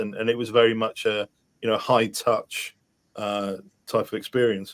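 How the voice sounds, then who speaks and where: A man with a Welsh accent, a fairly low pitch, monotone, flat intonation and a fairly quick pace. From rural Wales. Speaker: podcast host. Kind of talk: casual chat.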